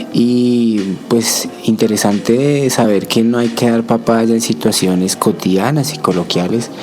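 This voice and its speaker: At a fairly slow pace, a man speaks with ordinary pitch variation amid noticeable background noise. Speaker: community radio podcast host. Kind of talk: casual chat.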